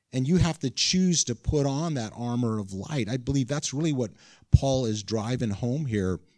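The recording is very clean, with a silent background. It holds a plain, everyday voice at a moderate pace with ordinary pitch variation. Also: man. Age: 60s. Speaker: pastor. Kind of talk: sermon.

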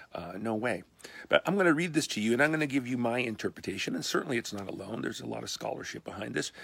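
A man talks at a very fast pace and medium pitch, with lively intonation. Vocal fry runs through his voice. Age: 60s. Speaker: pastor. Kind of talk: short video talk to congregation. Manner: casual, halting with fillers.

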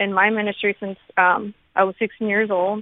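At a medium pitch, this woman speaks in a flat monotone. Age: 20s. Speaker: caller. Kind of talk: call-in testimony. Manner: hesitant, filler-heavy.

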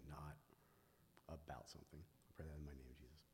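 Fairly even intonation marks a man's somewhat breathy voice. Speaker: church ministry leader. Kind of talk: testimony. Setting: church.

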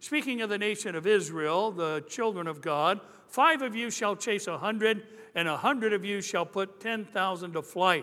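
A man projects his voice at a high pitch, with a bright, sharp tone, lively intonation, and a moderate pace. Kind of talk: sermon. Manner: animated, jokey opening that turns emphatic, call-and-response style; conversational, wry delivery with punchlines.

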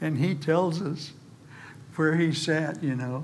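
A man's somewhat breathy, fairly high voice at a fairly slow pace, with audible room echo. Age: old. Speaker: preacher. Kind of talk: sermon.

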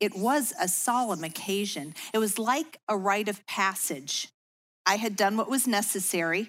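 With an American accent, a woman talks in a normal speaking voice at medium pitch and a moderate pace, her intonation lively, in a very clean recording with a silent background. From US Midwest, Chicago suburbs. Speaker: women's ministry speaker. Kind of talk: devotional talk.

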